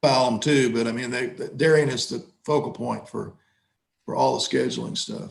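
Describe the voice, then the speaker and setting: A man with an American accent speaks at a moderate pace, his medium-pitched voice showing vocal fry and ordinary pitch variation. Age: 70s. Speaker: judge. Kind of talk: court hearing. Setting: video call. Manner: halting.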